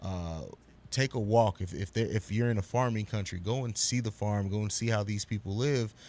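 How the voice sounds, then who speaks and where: With a normal speaking voice, a man's fairly low pitch stays fairly even in intonation while he keeps a moderate pace. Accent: American. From grew up abroad, military-style moving; US family. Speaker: podcaster, media company owner. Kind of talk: casual chat.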